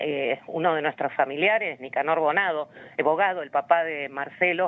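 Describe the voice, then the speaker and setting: At a moderate pace, a woman speaks with an Argentine accent in a very deep, low voice. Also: ordinary pitch variation. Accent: Rioplatense Argentine Spanish. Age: 60s. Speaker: human rights activist. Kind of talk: interview. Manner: hesitant, many fillers and repetitions.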